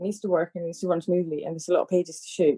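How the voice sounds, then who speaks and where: The voice has a dark, mellow tone and a dry, close sound with no echo. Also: woman. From Spain. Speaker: focus puller. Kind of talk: casual chat. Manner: animated.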